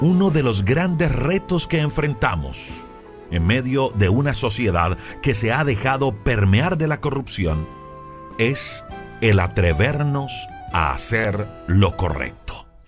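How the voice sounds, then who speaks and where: Music plays in the background as a man with a medium pitch speaks at a very slow pace using very wide pitch swings. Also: very even loudness. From Colombia. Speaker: commercial announcer. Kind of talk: devotional sermon.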